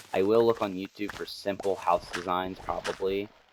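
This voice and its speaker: A man's very deep, low voice moves at a moderate pace against noticeable background noise. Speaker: gaming YouTuber. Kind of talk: gameplay commentary. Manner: casual with many fillers and restarts.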